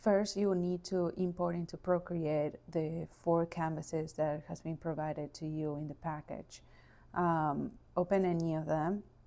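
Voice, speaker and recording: Fairly slow and monotone, a woman speaks with a fairly low pitch, a dark, mellow tone and flat intonation. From Argentina. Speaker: architectural designer. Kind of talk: software tutorial narration.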